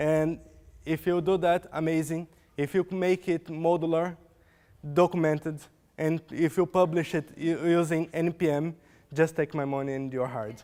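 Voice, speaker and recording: A dark, mellow tone with a Portuguese accent, fairly even intonation and a moderate pace. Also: man, fairly high pitch for a man. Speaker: software developer. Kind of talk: conference talk. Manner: halting.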